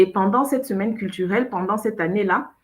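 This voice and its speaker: A woman talks in a normal speaking voice at medium pitch, with ordinary pitch variation. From Cameroon. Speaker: show host. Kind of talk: casual chat.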